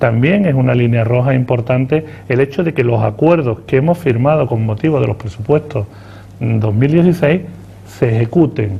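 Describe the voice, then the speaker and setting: A man at a medium pitch, with ordinary variation in it, talks against noticeable background noise. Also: moderate pace. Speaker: politician, party spokesman. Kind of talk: TV interview answer.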